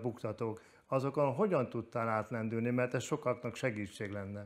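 Ordinary pitch variation marks a man speaking at a fairly quick pace. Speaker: sports TV presenter. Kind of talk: interview. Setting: studio. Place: studio. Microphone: lapel.

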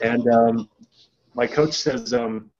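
Slightly mellow tone from a man at a slow pace. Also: medium pitch for a man, fairly even intonation.

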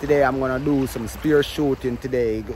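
Noticeable background noise behind a man, the sound dry with no echo. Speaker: vlogger. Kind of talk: casual vlog chat. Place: beach. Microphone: phone near.

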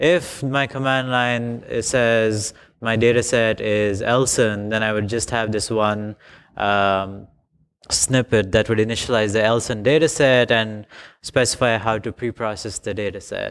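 A clear, smooth, fairly bright tone with fairly even intonation at a fairly slow pace. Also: man, fairly low pitch for a man.

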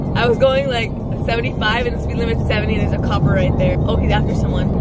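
A woman at a very fast pace, dry sound with no echo, loud background noise behind her. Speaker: vlogger. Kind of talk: casual vlog chat. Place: car. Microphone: phone near.

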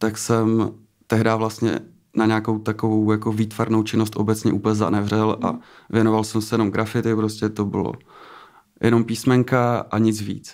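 Monotone, flat intonation from a man at fairly low pitch, moderate pace, over a quiet background. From Czechia, Třinec (Moravian-Silesian region); Moravian-Silesian region, Czechia. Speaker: tattoo artist; guest. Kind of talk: interview. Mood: relaxed, reflective. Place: studio. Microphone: studio mic.

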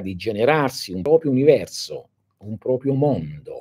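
At a moderate pace, a man speaks with lively intonation and a dark, mellow tone. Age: 60s. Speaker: esoteric teacher. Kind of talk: live stream talk to followers. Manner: halting, many fillers. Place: home room. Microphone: phone near.

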